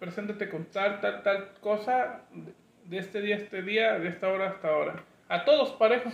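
The speaker uses ordinary pitch variation. The pace is moderate. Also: man, high pitch for a man. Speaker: podcast host. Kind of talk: casual chat. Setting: studio with video camera.

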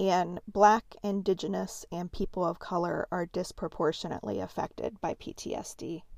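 Keeping a moderate pace with hardly any pauses, a woman speaks with big swings in loudness. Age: 40s. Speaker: podcast host. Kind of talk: educational solo podcast.

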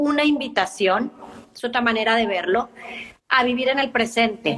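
Ordinary pitch variation at a moderate pace, with noticeable background noise. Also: woman. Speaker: life and business coach. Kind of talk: casual interview.

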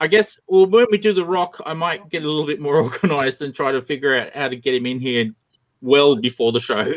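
This man's pitch is fairly high. He has an Australian accent. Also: lively intonation, fairly quick pace. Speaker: online drawing show host. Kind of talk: casual chat. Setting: online video stream.

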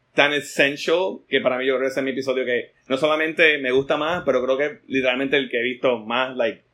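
A man speaks at a very fast pace with hardly any pauses, his medium-pitched voice carrying fairly even intonation. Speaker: artist. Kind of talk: casual chat.

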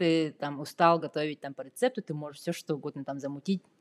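A woman with an unremarkable speaking voice, fairly low in pitch, talks at a moderate pace in a dry, close sound with no echo, on a very clean recording with a silent background. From Yakutia, Russia. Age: 30s. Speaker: software developer. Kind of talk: casual interview.

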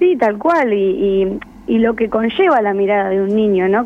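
Using a normal speaking voice, a woman talks at medium pitch and a moderate pace. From Argentina, Buenos Aires province (Verónica). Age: 20s. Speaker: filmmaker. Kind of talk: radio interview.

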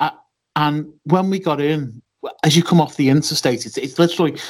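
Speaking at a fairly quick pace, a man with a fairly high voice talks with a Liverpool accent. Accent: Scouse. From Liverpool, England. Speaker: wrestling podcaster. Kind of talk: casual chat.

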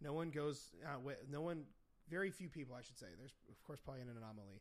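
A man with an American accent in an ordinary speaking voice, fairly high in pitch, with lively intonation. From Indiana, US. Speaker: podcast host and nutrition coach. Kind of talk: casual chat. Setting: home studio.

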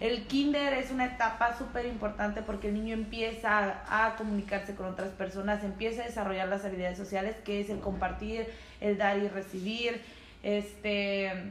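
A woman speaks at a moderate pace and medium pitch with monotone, flat intonation. Audible room echo and noticeable background noise fill the recording. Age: 20s. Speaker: podcast co-host. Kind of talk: casual chat.

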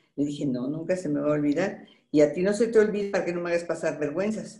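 A woman with fairly low pitch and a dark, mellow tone, at a fairly quick pace with ordinary pitch variation, in audible room echo. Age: 70s. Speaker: voice actress. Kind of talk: interview. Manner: animated.

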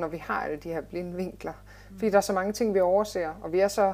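This woman's voice sits fairly low in pitch. She speaks at a fairly quick pace. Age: 30s. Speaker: fitness and life coach, former nurse. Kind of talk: interview. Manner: hesitant, many filler sounds.

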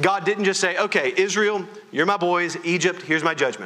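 Over noticeable background noise, a man talks loudly at a moderate pace with a high pitch. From Louisiana. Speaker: pastor. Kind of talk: sermon. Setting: church.

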